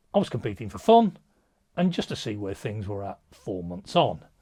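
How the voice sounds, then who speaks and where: A man with an English accent and a somewhat breathy, medium-pitched voice at a moderate pace, with very wide pitch swings, in a very clean recording with a silent background. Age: 60s. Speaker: powerlifting coach. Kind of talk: vlog monologue.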